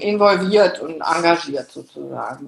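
A woman's normal speaking voice at a medium pitch, with ordinary pitch variation. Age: 50s. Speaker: works council chair and bank supervisory board member. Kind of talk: interview.

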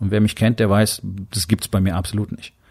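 Talking at a fairly quick pace, a man with a fairly low pitch has an ordinary speaking voice. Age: 50s. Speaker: podcast host, doctor and entrepreneur. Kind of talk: motivational monologue.

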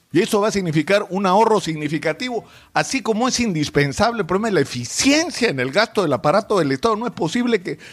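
Against a silent background on a very clean recording, a man with a Peruvian accent talks at a fairly quick pace in a high pitch with lively intonation. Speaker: political commentator. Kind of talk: opinion commentary. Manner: emphatic.

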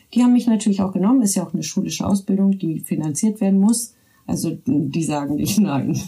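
With lively intonation and medium pitch, a woman talks at a very fast pace. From Berlin, Germany. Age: 30s. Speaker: social worker. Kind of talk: casual chat. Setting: home studio.

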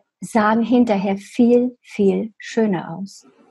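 A woman talks very slowly, her pitch fairly high. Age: 70s. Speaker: hairdresser. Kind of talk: interview.

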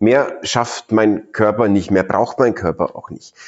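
Speaking at a fairly slow pace, a man has an animated tone. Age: 40s. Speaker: retired startup founder and mentor. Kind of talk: interview.

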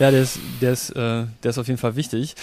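In a normal speaking voice, a man with medium pitch talks at a fairly quick pace. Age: 30s. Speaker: software designer and personal training client. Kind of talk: casual interview.

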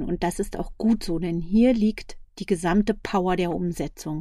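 A woman's dark, mellow tone at a moderate pace, on a very clean recording with a silent background. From Berlin, Germany. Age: 40s. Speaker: life coach and podcast host. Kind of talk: personal monologue.

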